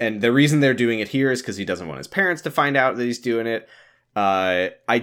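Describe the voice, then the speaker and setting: The man's intonation is lively, and the recording is very clean with a silent background. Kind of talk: comedic riffing, improvised bit-trading. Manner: animated, rapid-fire, finishing each other's sentences in a tag-team bit.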